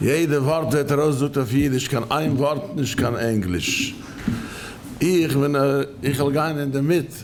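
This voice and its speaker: Noticeable background noise and audible room echo surround a man's fairly high voice. He speaks at a moderate pace. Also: ordinary pitch variation. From Canada. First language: Yiddish. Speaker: rabbinical judge. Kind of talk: lecture. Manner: halting.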